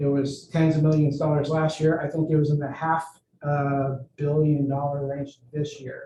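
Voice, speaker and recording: A man with a fairly high pitch and a dark, mellow tone speaks at a fairly slow pace, somewhat breathy. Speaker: fire department staff presenter. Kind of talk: board meeting report. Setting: board meeting, in person and video call.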